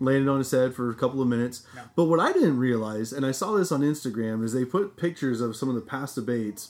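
A man with an American accent speaks at a very fast pace with hardly any pauses. His pitch is medium, with ordinary variation. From Nebraska. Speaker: podcast co-host. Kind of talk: casual chat.

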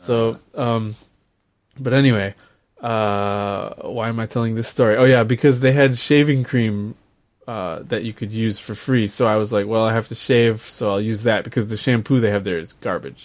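A plain, everyday voice from a man of medium pitch, with an American accent, fairly even intonation and a moderate pace. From US. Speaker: podcast co-host. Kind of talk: casual chat.

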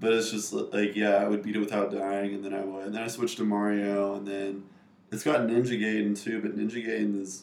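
A man with a fairly low pitch and an American accent talks in a flat monotone amid audible room echo. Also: fairly quick pace. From North Carolina (Raleigh). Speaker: video game programmer. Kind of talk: casual chat.

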